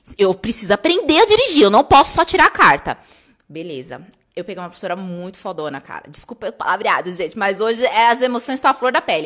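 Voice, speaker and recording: Over a quiet background, a woman talks at a very fast pace, her pitch swinging very widely and her loudness rising and falling sharply. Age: 30s. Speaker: stationery business owner and online course creator; online course creator. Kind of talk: casual live stream storytelling. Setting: live video stream. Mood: emotional, personal storytelling. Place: home room.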